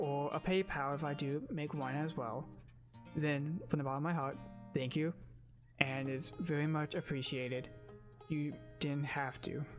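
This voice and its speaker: Music plays in the background as the speaker moves at a moderate pace with long, frequent pauses. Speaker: content creator, streamer. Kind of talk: casual talk to camera.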